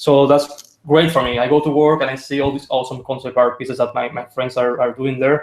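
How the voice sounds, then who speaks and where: A man with a Spanish accent speaks at a fairly quick pace, his fairly high-pitched voice held to a monotone, flat intonation. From Spain. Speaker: concept artist. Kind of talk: interview. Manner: halting.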